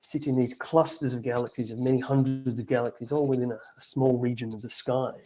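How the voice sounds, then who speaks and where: Music plays in the background as a man with an Australian accent talks at a fairly quick pace in a medium pitch, his intonation monotone and flat. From Australia, Victoria. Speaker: astronomer. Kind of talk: lecture.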